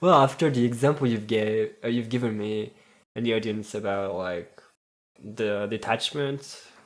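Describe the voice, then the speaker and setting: A man with a French accent, medium pitch, ordinary pitch variation and a moderate pace. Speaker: podcast co-host. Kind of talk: casual chat.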